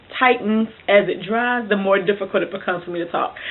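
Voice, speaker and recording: A woman's voice at medium pitch. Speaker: book vlogger. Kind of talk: casual chat. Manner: fast.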